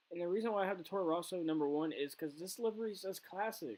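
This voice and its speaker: Here a man speaks at a very fast pace. His intonation is lively. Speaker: F1 video creator. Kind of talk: casual video review. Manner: halting, many fillers.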